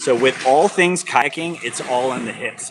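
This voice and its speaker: Moderately paced male speech in a plain, everyday voice of medium pitch. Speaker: kayak instructor. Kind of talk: live-streamed instructional demo.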